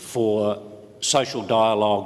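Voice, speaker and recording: Recorded with noticeable background noise and audible room echo, a man speaks in a New Zealand accent. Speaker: trade union official. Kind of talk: conference panel talk. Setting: conference panel. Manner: hesitant, many filler words.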